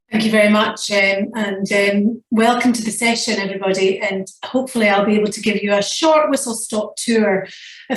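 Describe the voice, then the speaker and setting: With a Scottish accent, a woman talks at a fairly quick pace in a fairly high pitch with fairly even intonation, and audible room echo can be heard. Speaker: nursing professor. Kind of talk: lecture. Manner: fast.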